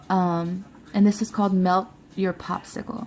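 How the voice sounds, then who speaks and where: A woman's somewhat breathy, medium-pitched voice with an American accent, monotone and flat, at a fairly slow pace. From Louisiana, US South. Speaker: beauty vlogger. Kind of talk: product review. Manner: halting, filler-heavy; casual, chatty.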